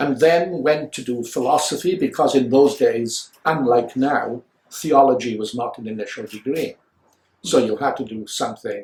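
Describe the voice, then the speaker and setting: With a Welsh accent, a man speaks at a moderate pace in a somewhat breathy voice. His medium pitch varies in an ordinary way, while his loudness swings widely. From Wales, Swansea area. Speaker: philosopher. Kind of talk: interview. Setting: office. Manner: measured, formal.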